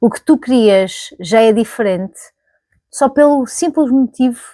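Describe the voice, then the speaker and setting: This woman's voice sits high in pitch, with a dark, mellow tone. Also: dry, close sound with no echo. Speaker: YouTuber. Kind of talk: casual vlog monologue. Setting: recording to camera. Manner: conversational, with fillers and self-corrections.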